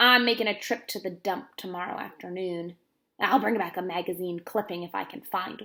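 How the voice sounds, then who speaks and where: Putting on a gruff character voice at medium pitch, a woman talks at a fairly quick pace. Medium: read story. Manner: gruff, curt.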